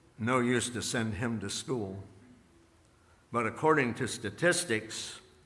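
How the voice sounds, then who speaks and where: Audible room echo carries a man's voice as he speaks at a fairly slow pace with long, frequent pauses and ordinary pitch variation. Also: medium pitch for a man. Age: 80s+. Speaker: pastor. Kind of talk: sermon. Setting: church.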